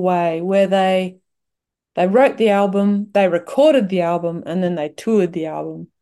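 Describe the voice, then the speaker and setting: A woman with an Australian accent and a dark, mellow tone talks at a moderate pace with ordinary pitch variation. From Western Australia, wheat belt. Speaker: singer-songwriter. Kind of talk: casual interview. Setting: video call.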